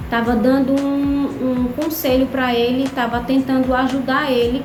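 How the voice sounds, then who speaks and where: High-pitched speech from a woman, monotone and flat, with audible room echo and noticeable background noise. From Brazil. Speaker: vlogger. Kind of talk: casual vlog monologue.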